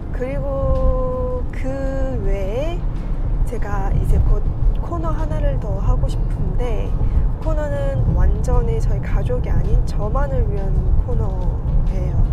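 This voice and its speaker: A woman at a very slow pace, with loud background noise and a dry sound with no echo. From Korean-Chinese community, Yanbian. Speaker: working mother, YouTuber. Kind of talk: casual talk to camera. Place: car. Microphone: phone near.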